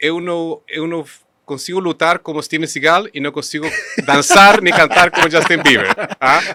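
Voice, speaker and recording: Pitched high for a man, his voice moves at a moderate pace with fairly even intonation in a dry, close sound with no echo. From Chile. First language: Spanish (speaking Portuguese). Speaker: engineering company executive. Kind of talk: podcast interview. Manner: halting.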